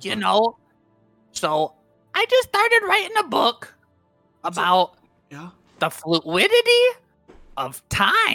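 A man speaks at a very slow pace in a put-on character voice, with long, frequent pauses and faint music playing in the background. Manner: laid-back surfer-bro slang, dreamy.

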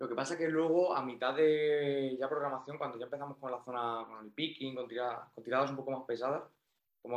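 With an unremarkable speaking voice, a man talks at a fairly quick pace, his medium pitch held in fairly even intonation. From Spain, Toledo. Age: 20s. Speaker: powerlifter. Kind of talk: casual chat.

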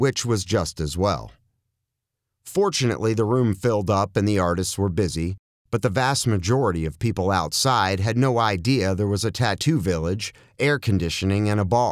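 An ordinary speaking voice from a man, fairly low in pitch with lively intonation, at a moderate pace on a very clean recording with a silent background. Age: 60s. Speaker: author and former concert promoter. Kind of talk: reading aloud.

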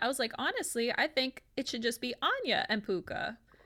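A woman projects a raised, high-pitched voice with a bright, sharp tone and very wide pitch swings on a very clean recording with a silent background. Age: 30s. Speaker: math teacher. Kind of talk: casual chat.

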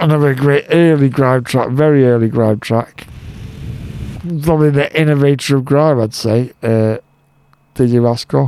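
A man's fairly high voice at a fairly slow pace, with very even loudness, fairly even intonation and long, frequent pauses. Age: 30s. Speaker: radio DJ. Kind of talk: radio show presenting.

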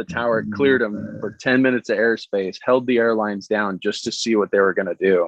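An American accent marks this man's very fast speech, which has hardly any pauses, a medium pitch and fairly even intonation. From US, grew up at Air Force Academy, Colorado. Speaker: aviation photographer and airport line service tech. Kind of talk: casual chat.

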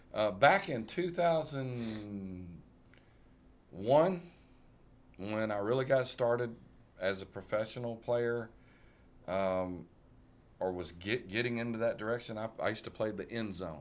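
Speaking with a Tennessee accent at a fairly slow pace, a man with a medium pitch leaves long, frequent pauses. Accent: US Southern (Tennessee). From West Tennessee (rural, near Covington). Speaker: musician. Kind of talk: casual interview chat.

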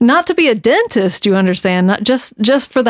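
A woman talks with a Southern US accent. The recording is very clean, with a silent background and a dry, close sound with no echo. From US South (North Carolina). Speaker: podcast co-host. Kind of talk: casual chat.

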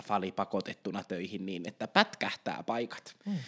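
At a moderate pace, a plain, everyday voice comes through on a very clean recording with a silent background and a dry, close sound with no echo. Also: man. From Ostrobothnia, Finland. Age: 20s. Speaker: intensive care nurse and podcast co-host. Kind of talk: casual chat. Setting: home studio.

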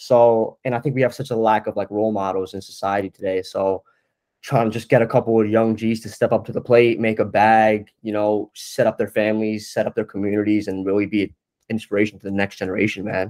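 On a very clean recording with a silent background, a man with an American accent speaks at a very fast pace in a fairly low pitch with monotone, flat intonation. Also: dry, close sound with no echo. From New Jersey (North Jersey). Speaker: marketing agency owner. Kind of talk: casual chat.

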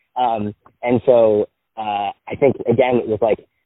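A man speaks at a medium pitch. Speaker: songwriter, producer and music professor. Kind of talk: casual interview. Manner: animated.

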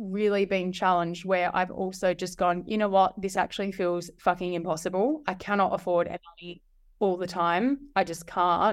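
A woman of medium pitch with an Australian accent, at a moderate pace over a quiet background. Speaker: marketing strategist and solo mother. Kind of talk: interview.

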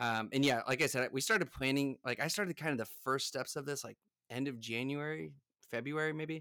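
On a very clean recording with a silent background, a man with an American accent talks fairly quickly in a bright, sharp tone with ordinary pitch variation. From United States. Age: 30s. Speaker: NFT project founder, entrepreneur. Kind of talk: casual interview. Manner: hesitant, many fillers.

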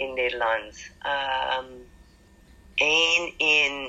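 Background noise is noticeable in this clip. Over it, a woman talks. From United States. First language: English (speaking Dutch). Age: 60s. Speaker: Dutch learner. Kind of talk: interview. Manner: halting, many hesitations.

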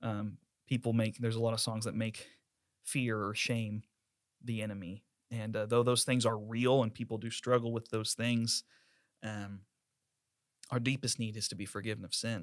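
A man's medium-pitched, monotone voice at a moderate pace, broken by long, frequent pauses. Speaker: worship pastor and podcast host. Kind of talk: casual chat, podcast discussion.

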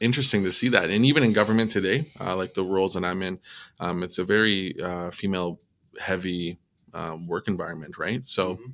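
Speaking with a western Canadian accent, a man with a very deep, low pitch and a bright, sharp tone talks at a moderate pace with ordinary pitch variation, in a very clean recording with a silent background. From Edmonton, Alberta, Canada (Métis). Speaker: musician and public service worker, former firefighter. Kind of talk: casual interview. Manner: hesitant, many fillers.

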